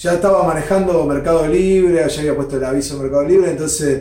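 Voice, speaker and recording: There is audible room echo and noticeable background noise. Through it, a man with a Rioplatense accent speaks with ordinary pitch variation. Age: 40s. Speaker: guitar maker. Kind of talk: interview. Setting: workshop.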